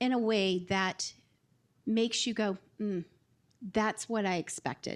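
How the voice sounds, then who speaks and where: Very slowly, a woman with a fairly high pitch speaks with a slight Southern US accent. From US South. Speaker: marketing executive. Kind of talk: panel discussion. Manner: hesitant, many filler words.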